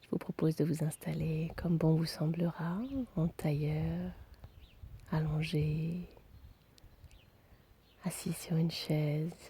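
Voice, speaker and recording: Very slow and soft-spoken, a woman speaks in a somewhat breathy, very deep, low pitch with a dark, mellow tone, monotone, flat intonation, and long, frequent pauses. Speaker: meditation guide. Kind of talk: guided relaxation.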